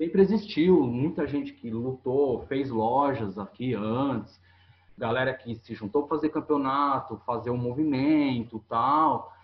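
A man with a normal speaking voice talks at a fairly slow pace, his pitch varying in an ordinary way. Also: medium pitch for a man. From São Paulo state coast, Brazil. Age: 30s. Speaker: skate shop owner. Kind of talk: casual interview chat.

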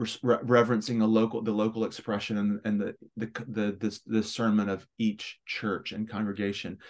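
Over a quiet background, a man with a fairly low voice speaks at a moderate pace in a monotone, flat intonation. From Memphis, Tennessee, US South. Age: 40s. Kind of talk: casual interview.

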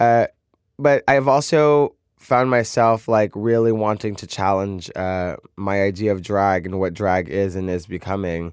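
A normal speaking voice from a man with a fairly low pitch, an American accent, ordinary pitch variation and a fairly slow pace, on a very clean recording with a silent background. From US Northeast (Brooklyn, New York). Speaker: drag queen, reality show contestant. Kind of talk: casual interview.

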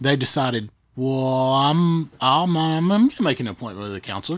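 A man's normal speaking voice at medium pitch, lively intonation and a moderate pace, on a very clean recording with a silent background. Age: 40s. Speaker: podcast co-host, church tech arts leader. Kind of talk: casual chat.

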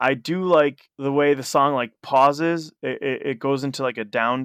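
This man has an ordinary speaking voice at a medium pitch, with ordinary pitch variation. The sound is dry and close, with no echo. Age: 30s. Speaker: punk musician. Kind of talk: casual chat.

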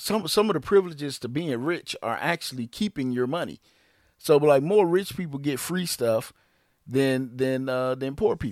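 A plain, everyday voice from a man, fairly high-pitched, with lively intonation at a moderate pace. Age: 40s. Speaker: podcast co-host, father. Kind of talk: casual family chat.

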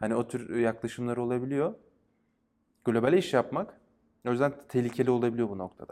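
Long, frequent pauses break up a man's speech. His pitch is medium with ordinary variation. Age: 30s. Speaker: game designer and academic. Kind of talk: casual interview. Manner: hesitant, many fillers.

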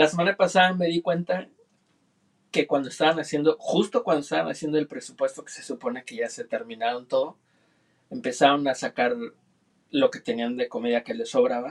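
A man's high voice at a fairly quick pace, with very wide pitch swings, big swings in loudness and long, frequent pauses. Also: dry, close sound with no echo. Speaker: producer. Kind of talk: casual chat. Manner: formal.

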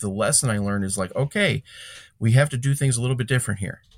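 A man speaks at a medium pitch with lively intonation and a somewhat breathy voice. The recording is very clean over a silent background. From Chicago area, Illinois (Calumet City). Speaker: lawn care business owner and podcaster. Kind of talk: casual interview.

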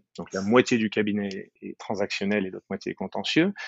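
A man is talking. His voice sits fairly low. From France, moved to the US at 15. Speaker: business lawyer. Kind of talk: interview.

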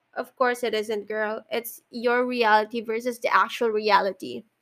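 A woman speaks with a Filipino accent. Her intonation stays fairly even. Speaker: podcast host. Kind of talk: casual monologue. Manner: halting, frequent fillers and sighs.

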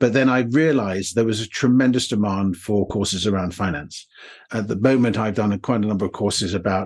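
A fairly low-pitched man with a British accent, ordinary pitch variation and a fairly quick pace, against a quiet background. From England. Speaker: online course creator, former banker. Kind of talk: interview, conversational. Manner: hesitant, with fillers.

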